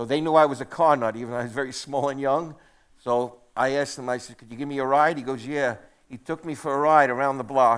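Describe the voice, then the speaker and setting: A man at a very fast pace, fairly even in intonation, on a very clean recording with a silent background. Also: medium pitch for a man, big swings in loudness. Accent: New York. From New York City, Queens. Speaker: museum curator. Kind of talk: casual onstage talk. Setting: theatre stage with audience.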